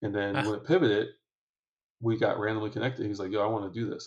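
A man talks at a very fast pace with an American accent, his pitch fairly low. His voice is somewhat breathy. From Michigan, Detroit area. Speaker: entrepreneur and venture investor. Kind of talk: podcast interview. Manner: casual, frequent fillers.

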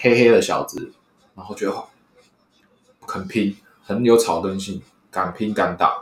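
A man with a Taiwanese accent speaks at a fairly slow pace and fairly low pitch, his flat, monotone delivery broken by long, frequent pauses and big swings in loudness. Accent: Taiwanese Mandarin. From Taiwan, Hsinchu. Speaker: sports fan, former sports columnist. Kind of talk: casual chat.

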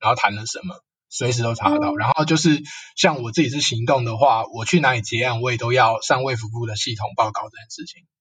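A man talks at a very fast pace with a medium pitch. His loudness swings widely while his pitch varies in an ordinary way. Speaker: counseling psychologist. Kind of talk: casual interview chat.

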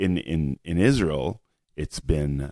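In a Montreal accent, a man speaks at a very slow pace with a very deep, low pitch and a dark, mellow tone, the sound dry and close with no echo. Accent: Canadian English, Montreal. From Canada, Montreal. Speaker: blogger. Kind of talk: interview conversation. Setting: in person, venue where they host Shabbat events. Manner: repetitive, halting starts.

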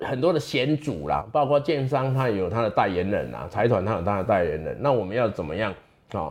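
The voice moves through very wide pitch swings. Vocal fry is present. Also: man, medium pitch for a man, fairly quick pace. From Taiwan, Chiayi mountains. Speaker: legislator and lawyer. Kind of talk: interview. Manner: many fillers and hesitations.

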